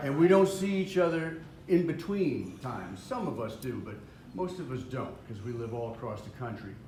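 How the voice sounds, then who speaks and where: Against noticeable background noise, a man speaks in a fairly high pitch at a moderate pace. His pitch swings very widely, and his loudness rises and falls sharply. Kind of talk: emotional speech at family reunion. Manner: halting, hesitant.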